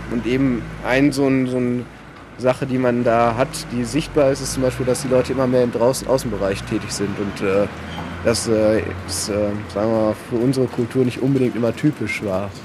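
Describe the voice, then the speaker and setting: Over noticeable background noise, a man talks at a fairly quick pace, his medium pitch held in fairly even intonation. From Germany, Paderborn (Westphalia). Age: 30s. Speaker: architect and artist. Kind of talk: interview. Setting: outdoors on a city square.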